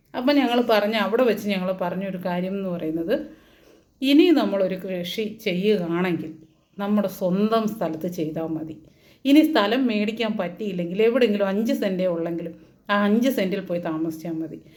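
Ordinary pitch movement, with audible echo from the room. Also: woman, medium pitch for a woman. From Kerala, Idukki. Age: 40s. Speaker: farmer and video blogger. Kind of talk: casual talk to camera. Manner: unscripted, rambling.

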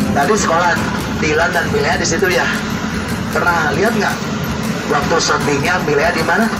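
At a moderate pace, a man talks while loud background noise fills the recording. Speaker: tour bus guide. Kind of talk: tour guide commentary. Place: bus.

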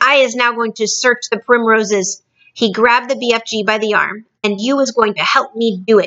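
Someone is reading aloud in a natural voice, intonation fairly even, over a quiet background.

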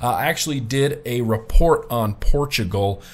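Medium pitch, a fairly slow pace and an American accent from a man. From US. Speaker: vlogger. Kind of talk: casual vlog monologue. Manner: casual, chatty. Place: home room. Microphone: webcam.

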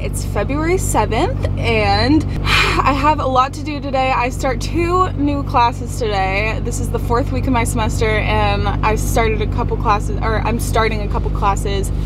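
The woman speaks at a fairly slow pace over background music. Her sound is dry with no echo. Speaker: college student vlogger. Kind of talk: casual vlog chat. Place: car. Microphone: phone near.

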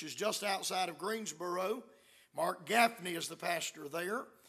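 A man's raised, projected voice, bright and sharp in tone, at a moderate pace against a quiet background. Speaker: visiting preacher. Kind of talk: sermon announcements. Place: church. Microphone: podium.

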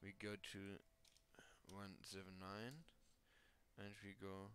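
A man speaks with a non-native accent in a fairly low pitch. His tone is bright and sharp. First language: not English. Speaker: 3D modding tutorial creator. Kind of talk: screen-recorded software tutorial.

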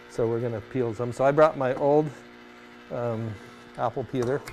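A man's voice with fairly even intonation at a moderate pace, music in the background. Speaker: teacher on TV show. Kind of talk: tutorial. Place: studio.

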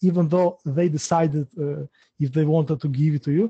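A man talks at a moderate pace with an Albanian accent. His tone is dark and mellow, the sound dry and close with no echo. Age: 30s. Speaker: interviewer. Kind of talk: interview. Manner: halting, repeating words.

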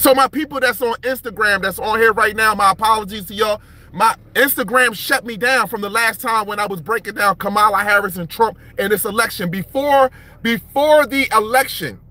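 Over faint background music, a man uses a raised, projected voice with ordinary pitch variation at a fairly quick pace, and the sound is dry with no echo. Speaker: livestream commentator. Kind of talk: animated political commentary. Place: car. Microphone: phone near.

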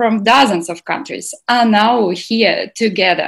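The background stays quiet. A woman's voice is heard. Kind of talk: welcome speech. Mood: cheerful, enthusiastic. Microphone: video call.

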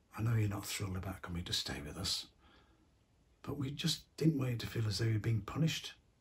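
A somewhat breathy voice with lively intonation, racing along at a very fast pace. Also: man. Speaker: actor playing a grandfather figure. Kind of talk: acted monologue to a teenager. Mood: warm, gently concerned.

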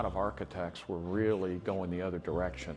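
Faint music plays in the background behind a man with a very deep, low pitch. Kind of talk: interview answer. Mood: warm, reflective. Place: street. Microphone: lapel.

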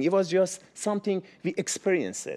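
With a Persian accent, a man speaks at a moderate pace in a high pitch. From Iran. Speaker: cameraman; storyteller at community event. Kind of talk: storytelling. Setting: stage with audience. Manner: halting. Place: meeting room. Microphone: lapel.

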